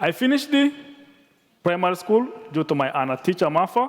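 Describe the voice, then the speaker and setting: A man with a Tanzanian accent and very wide pitch swings. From rural Tanzania. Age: 30s. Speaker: nonprofit director. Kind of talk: reading a speech. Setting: conference stage with audience. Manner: careful, deliberate.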